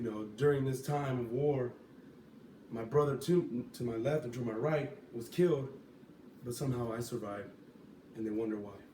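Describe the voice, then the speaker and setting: A man with an American accent speaks with long, frequent pauses. Noticeable background noise runs behind him. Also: medium pitch for a man, ordinary pitch variation, moderate pace. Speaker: Marine Corps veteran. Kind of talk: informative class speech.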